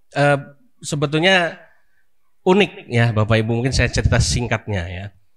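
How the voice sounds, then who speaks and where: An ordinary speaking voice from a man, moderate in pace with lively intonation, in a very clean recording with a silent background. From Jakarta, Indonesia. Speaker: Islamic preacher, boarding school founder. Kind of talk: religious talk to congregation. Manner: conversational, many fillers.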